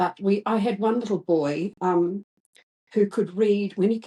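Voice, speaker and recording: Her tone is dark and mellow as the woman speaks at a fairly slow pace with fairly even intonation. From New Zealand. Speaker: retired teacher. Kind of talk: interview answer.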